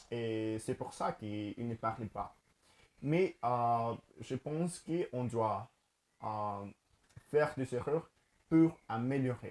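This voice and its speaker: A man with a Spanish accent and a medium pitch, at a very slow pace with long, frequent pauses. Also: ordinary pitch variation. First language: Spanish (speaking French). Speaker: language learner and teacher. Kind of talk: casual vlog talk to camera. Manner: halting, many fillers and repetitions.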